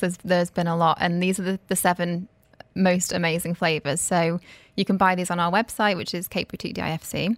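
Fairly quick and fairly low in pitch, a woman's voice comes through dry and close with no echo on a very clean recording with a silent background. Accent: British. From UK. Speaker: cake artist. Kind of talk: radio interview. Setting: radio studio.

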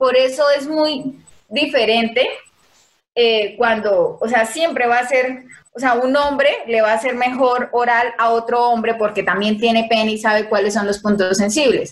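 In an ordinary speaking voice, a woman talks at a fairly slow pace with fairly even intonation. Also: fairly high pitch for a woman. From Colombia, Casanare (eastern plains). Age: 20s. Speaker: environmental engineer, dancer and model. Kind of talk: casual chat.

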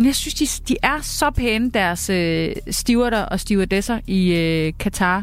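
Lively intonation at a very slow pace, over noticeable background noise. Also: woman, fairly high pitch for a woman. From Denmark. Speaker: journalist and cookbook author. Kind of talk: casual chat. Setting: studio.

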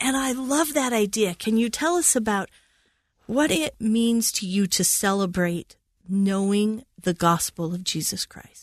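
Over a quiet background, a woman with a fairly high pitch speaks with lively intonation in a somewhat breathy voice, the sound dry and close with no echo. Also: fairly slow pace.

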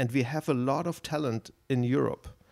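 A man with vocal fry speaks at a medium pitch with ordinary pitch variation. The recording is very clean and dry, close with no echo and a silent background. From Germany. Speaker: think tank policy expert. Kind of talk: interview. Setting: in person, Dublin institute.

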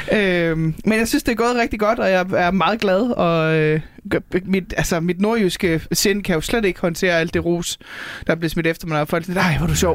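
Speaking at a moderate pace, a woman has a fairly low pitch, ordinary pitch variation, and an unremarkable speaking voice. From North Jutland, Denmark. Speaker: stand-up comedian. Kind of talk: casual chat.

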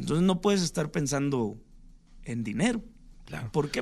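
A man with vocal fry, very wide pitch swings and a fairly quick pace. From Mexico, Sinaloa. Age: 30s. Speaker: singer-songwriter. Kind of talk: radio interview.

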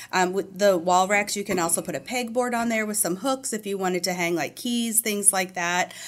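On a very clean recording with a silent background, a woman with an American accent speaks in an ordinary speaking voice at a medium pitch and a fairly quick pace with ordinary pitch variation. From US Midwest, St. Louis, Missouri. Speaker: retail store manager. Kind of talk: radio interview.

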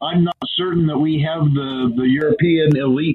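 A man talks at a moderate pace in a fairly high pitch with fairly even intonation. His is an unremarkable speaking voice. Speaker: motorsports radio broadcaster. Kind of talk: casual interview. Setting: remote call.

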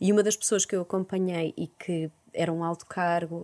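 A woman with a Porto accent has a fairly low pitch and a dark, mellow tone. Her voice sounds dry and close, with no echo. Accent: northern European Portuguese (Porto). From Porto, northern Portugal. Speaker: psychologist. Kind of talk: interview.

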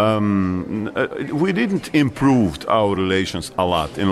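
Noticeable background noise accompanies a man whose Bosnian accent carries lively intonation. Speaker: foreign minister. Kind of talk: interview.

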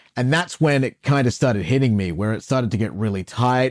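This is a man with a normal speaking voice at a medium pitch. His pitch varies in an ordinary way, and the recording is very clean with a silent background. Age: 40s. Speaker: radio host. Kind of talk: interview.

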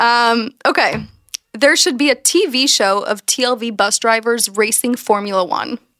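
A normal speaking voice with an American accent talks at a fairly slow pace. Loudness stays very even, with ordinary pitch variation. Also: woman, fairly high pitch for a woman. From Texas. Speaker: podcast host, immigrant. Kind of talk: casual chat.

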